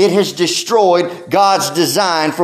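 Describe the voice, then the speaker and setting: A man is speaking with audible room echo. Background noise is noticeable. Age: 30s. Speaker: pastor. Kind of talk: sermon.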